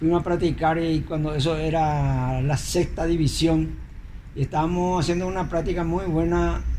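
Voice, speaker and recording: With audible room echo, a man talks at a moderate pace and very even loudness. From Paraguay, Asunción (La Chacarita). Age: 70s. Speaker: retired footballer. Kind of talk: interview testimony.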